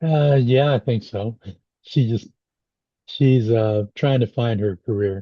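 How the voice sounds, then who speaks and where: Speaking very slowly with long, frequent pauses, a man has a dark, mellow tone and a dry, close sound with no echo. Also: medium pitch for a man, ordinary pitch variation. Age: 60s. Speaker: podcast host, blind stroke survivor. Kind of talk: casual chat. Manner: halting.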